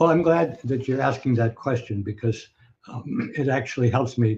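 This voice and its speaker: A man with an American accent speaks at medium pitch. His voice is somewhat breathy, with a dark, mellow tone. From US Northeast, Scranton, Pennsylvania. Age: 80s+. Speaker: professor. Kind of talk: interview. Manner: hesitant, many fillers.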